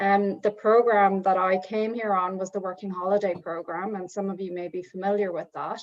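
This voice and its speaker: Her medium-pitched voice stays monotone and flat as the woman talks at a moderate pace. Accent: Irish. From Ireland. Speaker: immigration lawyer. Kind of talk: self-introduction at networking meetup.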